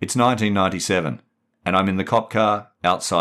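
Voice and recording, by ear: Against a quiet background, a passage is read aloud in a natural voice.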